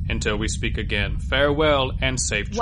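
A man's put-on character voice at a fairly quick pace over loud background noise. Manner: pompous, put-on.

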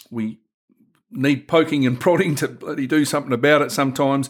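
A man talks at a moderate pace with an Australian accent. His pitch varies in an ordinary way. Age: 60s. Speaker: men's health worker and podcast host. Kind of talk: casual discussion.

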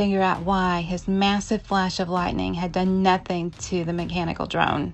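An ordinary speaking voice at a moderate pace against a quiet background. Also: woman. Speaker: audio drama narrator. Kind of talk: dramatic narration. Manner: urgent, action-driven storytelling; vivid and theatrical.

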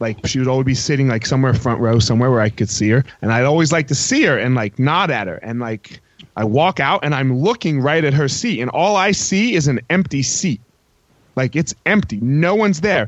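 In a normal speaking voice, a man speaks at a fairly quick pace with medium pitch and lively intonation. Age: 30s. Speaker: former MMA fighter. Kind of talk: heated debate.

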